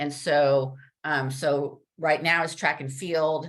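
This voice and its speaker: The delivery comes at a very slow pace. The intonation is monotone and flat. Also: woman. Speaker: Special Olympics coach and community volunteer. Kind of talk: casual talk to a video-meeting club audience. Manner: halting, with fillers.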